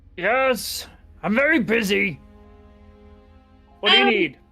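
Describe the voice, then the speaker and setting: Over faint background music, a woman does a put-on character voice at a fairly high pitch and a fairly slow pace. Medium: actual play. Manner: brusque, dry.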